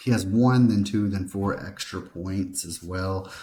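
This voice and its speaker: A quiet, somewhat breathy voice with a dark, mellow tone at a moderate pace. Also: man. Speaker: sports betting picks youtuber. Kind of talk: sports betting tutorial. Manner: mumbling a bit. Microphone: laptop mic.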